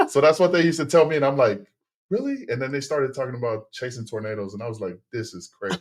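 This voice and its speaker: A man with a Tongan accent talks at a very fast pace in a medium pitch, his intonation lively and his loudness swinging widely. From Texas. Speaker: former football player and teacher turned business owner. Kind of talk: podcast interview. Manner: halting with many fillers and repetitions.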